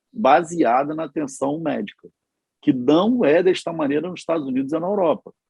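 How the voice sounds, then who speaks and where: A man's intonation is lively as he keeps up a moderate pace. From Rio de Janeiro, Brazil. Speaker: politician and physician. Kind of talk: panel discussion. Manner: animated.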